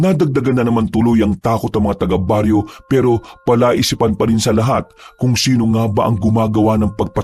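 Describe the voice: The intonation is fairly even. The delivery is plain reading aloud.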